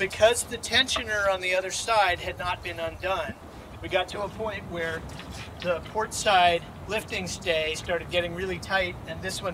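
This man has a high pitch and fairly even intonation, speaking at a moderate pace over noticeable background noise. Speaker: sailor. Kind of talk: casual how-to explanation. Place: waterside.

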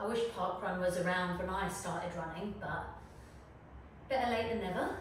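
Speaking at a moderate pace with fairly even intonation, a woman with a medium-pitched voice is heard in strong room echo over light background noise. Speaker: fitness instructor. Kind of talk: guided follow-along workout with timed cues. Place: home room.

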